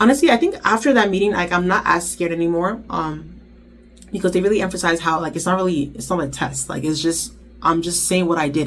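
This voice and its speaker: Her pitch fairly low, a woman speaks at a fairly quick pace with ordinary pitch variation. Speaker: intern vlogger. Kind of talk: vlog talk to camera. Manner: fast.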